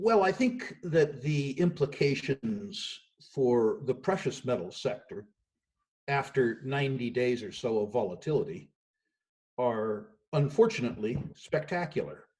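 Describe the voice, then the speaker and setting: Speaking at a fairly slow pace, a man with a fairly high pitch sounds somewhat breathy as his pitch swings very widely. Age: 60s. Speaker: investment firm executive. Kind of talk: remote interview. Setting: remote call from home.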